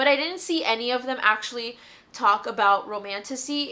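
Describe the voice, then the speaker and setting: A high-pitched woman with ordinary pitch variation, over noticeable background noise. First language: not English. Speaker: lifestyle and book vlogger. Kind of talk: casual chatty vlog. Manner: casual, chatty.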